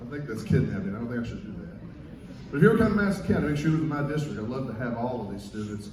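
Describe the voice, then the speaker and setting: A man in a Southern Kentucky accent at a medium pitch, very fast and with lively intonation, big swings in loudness, audible room echo and noticeable background noise. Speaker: guest band conductor and music teacher. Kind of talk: concert stage remarks to audience. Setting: concert stage with audience.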